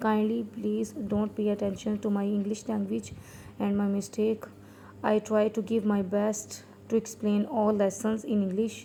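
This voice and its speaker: A woman with a Pakistani accent, medium pitch and monotone, flat intonation. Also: fairly slow pace. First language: Urdu. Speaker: Quran reading teacher. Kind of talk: tutorial. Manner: hesitant, many fillers; slow letter-by-letter spelling.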